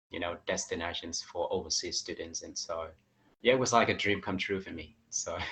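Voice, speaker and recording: Speaking at a fairly quick pace, a man has a slight Australian accent. His loudness swings a lot. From Vietnam. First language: Vietnamese. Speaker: English teacher. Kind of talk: interview.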